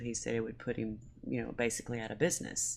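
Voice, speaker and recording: Speaking in a Southern US accent, this woman keeps up a fairly quick pace. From US South, Mississippi. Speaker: small food business owner. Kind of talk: casual chat.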